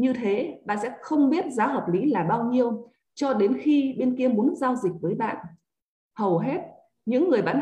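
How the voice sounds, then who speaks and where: Lively intonation marks a woman's fairly high-pitched voice. Her dark, mellow tone unfolds at a fairly slow pace. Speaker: book club reader. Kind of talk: reading aloud.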